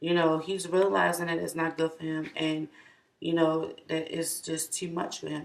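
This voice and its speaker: An ordinary speaking voice at a moderate pace. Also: woman. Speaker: tarot reader. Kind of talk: tarot reading monologue. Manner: casual, many fillers.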